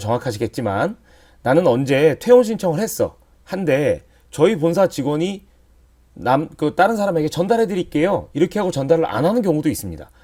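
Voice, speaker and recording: A man's dark, mellow tone with very wide pitch swings, on a very clean recording with a silent background. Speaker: staff trainer. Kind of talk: tutorial.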